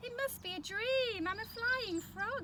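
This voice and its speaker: A woman puts on a squeaky character voice, speaking at a fairly slow pace over loud background noise. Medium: read story. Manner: croaky.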